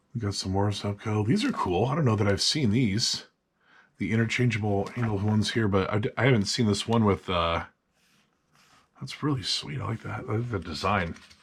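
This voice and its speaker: A man speaks at a fairly quick pace in a fairly low, somewhat breathy voice. His pitch variation is ordinary. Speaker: fishing video host. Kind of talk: casual catalog walkthrough. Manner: enthusiastic.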